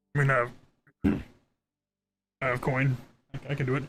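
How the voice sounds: A man's put-on character voice, croaky and nasal, medium in pitch, monotone and flat, at a very fast pace.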